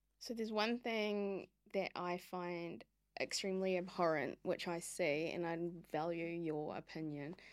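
A woman's fairly low voice with a New Zealand accent, at a fairly slow pace and with ordinary pitch variation, on a very clean recording with a silent background. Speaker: podcast host, former lobbyist. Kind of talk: podcast interview. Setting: podcast studio.

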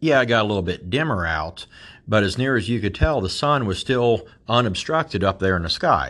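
Lively intonation marks this voice with an American accent. The pace is fairly quick against a quiet background. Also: man, medium pitch for a man. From US Midwest, Appalachian southeastern Ohio. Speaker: podcast host. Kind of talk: monologue. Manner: animated.

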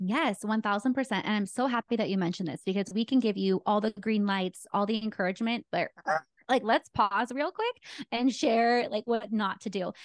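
A woman speaks at a moderate pace in a fairly high pitch, with ordinary pitch variation. The sound is dry and close with no echo. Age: 30s. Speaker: wedding photographer and content creator. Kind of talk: podcast interview. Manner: animated.

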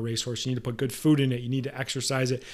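A man speaks at a very fast pace in an energetic tone, his pitch sitting in the medium range. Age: 30s. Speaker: podcast host and massage therapy educator. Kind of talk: solo podcast monologue.

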